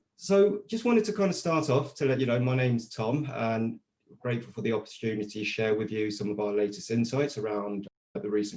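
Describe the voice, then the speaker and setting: With a British accent, a man speaks at a moderate pace in a somewhat breathy voice with ordinary pitch variation. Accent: British accent, noticeable. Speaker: crypto compliance company representative. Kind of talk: webinar presentation. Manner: hesitant, with repetitions.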